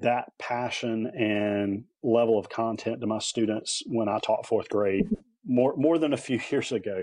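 A man with a North Carolina accent speaks fairly slowly at a medium pitch against a quiet background. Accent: North Carolina Southern. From North Carolina (Lillington, near Raleigh). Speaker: head of a leadership nonprofit, former teacher. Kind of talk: interview.

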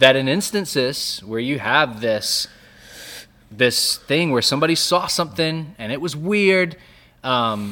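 In a very clean recording with a silent background, a man speaks at a moderate pace in a bright, sharp, animated tone with lively intonation. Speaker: podcast co-host. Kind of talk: casual chat about theology. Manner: animated, jittery from caffeine.

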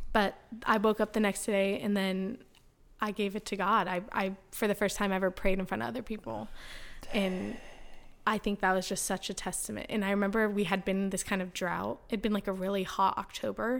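Talking at a fairly quick pace, a woman with an American accent has a medium pitch, vocal fry and fairly even intonation. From US West Coast, San Diego. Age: 20s. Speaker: podcast guest sharing faith story. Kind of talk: casual interview, personal testimony.

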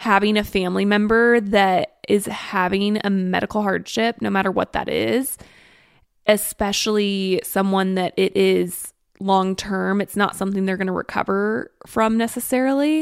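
With a normal speaking voice, a woman talks at a moderate pace and medium pitch, with ordinary pitch variation. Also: very clean recording, silent background. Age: 20s. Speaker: podcast co-host and social media creator. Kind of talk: casual chat.

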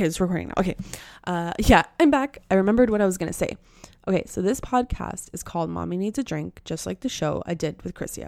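A woman at a very fast pace with big swings in loudness. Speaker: podcast host. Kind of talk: solo monologue, casual rambling. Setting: spare bedroom, headphones on. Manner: casual, filler-heavy.

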